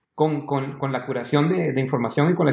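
A man with a fairly high voice speaks with vocal fry. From Honduras. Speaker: tech commentator. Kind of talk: casual chat.

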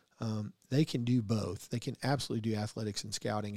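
Speaking at a very fast pace, a man keeps a medium pitch. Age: 50s. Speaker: podcast host, salesman. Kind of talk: casual interview. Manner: talkative.

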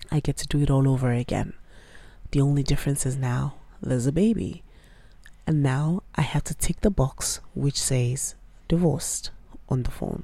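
Her voice very deep and low, a woman speaks at a moderate pace with a dark, mellow, somewhat breathy tone, ordinary pitch variation and long, frequent pauses. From Nigeria. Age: 30s. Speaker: podcast host. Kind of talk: personal audio journal monologue.

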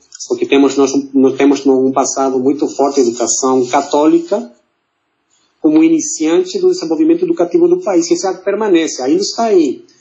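At a moderate pace, a man talks in a Mexican accent. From Mexico City. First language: Spanish (speaking Portuguese). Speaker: diplomat. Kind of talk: interview. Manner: halting.

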